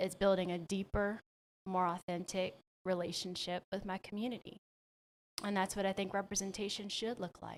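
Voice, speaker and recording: The woman's voice sits at a medium pitch, moving at a moderate pace with monotone, flat intonation. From New Orleans, Louisiana. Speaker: county commissioner and congressional candidate. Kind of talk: interview. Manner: polished.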